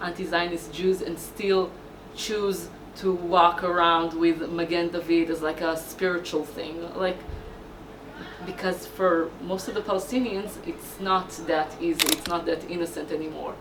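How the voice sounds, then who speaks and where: In an Israeli accent, a woman with a fairly low pitch talks at a fairly slow pace amid noticeable background noise and audible room echo. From Israel, Haifa. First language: Hebrew. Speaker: activist. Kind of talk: documentary interview. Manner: halting.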